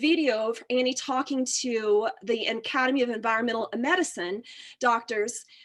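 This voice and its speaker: Animated in tone, a woman with a high voice talks at a moderate pace with ordinary pitch variation. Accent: Texan. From Texas. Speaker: physical therapist. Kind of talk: testimony.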